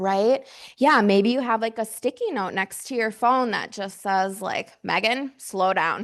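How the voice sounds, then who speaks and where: A woman speaks fairly slowly in an unremarkable speaking voice, fairly high in pitch. Her pitch variation is ordinary, and the background is quiet. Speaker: mental health outreach director. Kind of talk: workshop presentation with audience discussion. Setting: conference room with audience.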